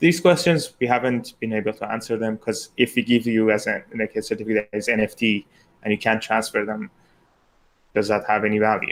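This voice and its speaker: With a non-native accent, a man talks at a fairly quick pace, his medium pitch showing ordinary variation. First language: not English. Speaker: exam committee member. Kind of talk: live Q&A panel.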